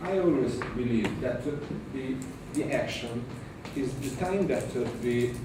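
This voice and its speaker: Audible room echo surrounds a man with an Italian accent and a medium-pitched voice. He speaks at a very slow pace with ordinary pitch variation. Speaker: aesthetic medicine doctor in audience. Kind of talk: audience question. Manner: halting, many repetitions.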